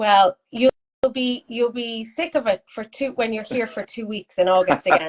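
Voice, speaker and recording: With an Irish accent, a woman talks at a moderate pace in a fairly high voice with ordinary pitch variation, the sound dry and close with no echo. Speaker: art school host. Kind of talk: casual chat.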